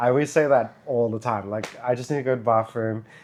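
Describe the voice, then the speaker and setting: A man talks at medium pitch with fairly even intonation. He has a strong Australian accent. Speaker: vlogger. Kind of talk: casual chat.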